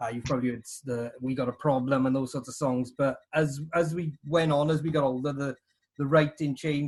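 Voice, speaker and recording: In a Welsh accent, a man rushes along at a very fast pace, somewhat breathy and fairly high in pitch, with monotone, flat intonation. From Wales, South Wales Valleys (New Tredegar). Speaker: punk drummer. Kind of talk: casual interview.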